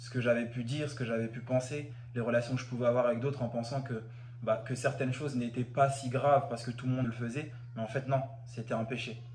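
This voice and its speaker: Amid noticeable background noise and audible room echo, a man talks fairly quickly at medium pitch in a monotone, flat way. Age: 20s. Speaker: church member giving testimony. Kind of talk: testimony. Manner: halting, with fillers and repetitions.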